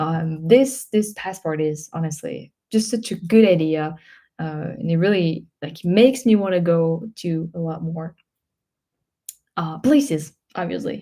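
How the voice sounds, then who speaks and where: A woman speaks at a fairly slow pace in a dark, mellow tone with lively intonation. Her loudness swings widely. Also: fairly low pitch for a woman. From France. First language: French. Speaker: travel vlogger. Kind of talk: live stream Q&A. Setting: live stream. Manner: hesitant, many fillers.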